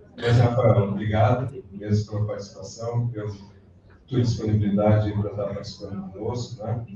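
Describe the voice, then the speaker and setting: Amid noticeable background noise and audible room echo, a man with a fairly low voice speaks at a moderate pace with monotone, flat intonation. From southern Brazil, gaúcho. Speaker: college lecturer. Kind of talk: closing remarks at a lecture.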